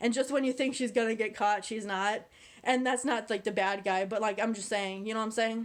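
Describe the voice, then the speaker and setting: With an animated tone, a woman speaks fairly fast at a fairly high pitch. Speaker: YouTuber, movie reviewer. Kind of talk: casual vlog review. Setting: on camera.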